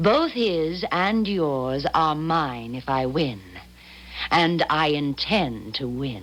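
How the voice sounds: A woman uses a put-on character voice at a low pitch. Her intonation is lively and her pace is slow. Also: fairly bright tone.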